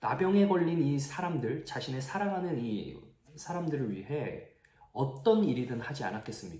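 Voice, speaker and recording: With audible room echo, a man at a fairly high pitch speaks at a fairly slow pace, his pitch swinging very widely and his loudness swinging greatly. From Gyeongsang region, South Korea. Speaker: youth pastor. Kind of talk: sermon.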